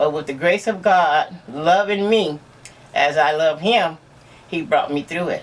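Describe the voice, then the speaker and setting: This woman talks at a fairly slow pace with a fairly low pitch and ordinary pitch variation. Background noise is noticeable. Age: 60s. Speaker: aneurysm survivor. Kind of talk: casual interview.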